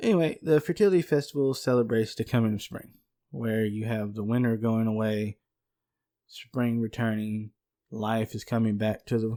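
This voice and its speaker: A man with a Southern US accent speaks in a dark, mellow tone. The recording is very clean, with a silent background. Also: medium pitch for a man, ordinary pitch variation, moderate pace. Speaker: podcast co-host. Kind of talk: casual podcast chat.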